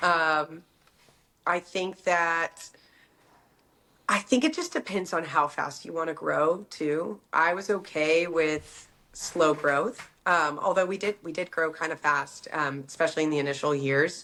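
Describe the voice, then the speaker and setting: A woman with an American accent speaks at a fairly slow pace in a fairly low pitch with fairly even intonation, on a very clean recording with a silent background. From Texas, Dallas. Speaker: fashion entrepreneur. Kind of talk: casual interview. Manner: hesitant fillers.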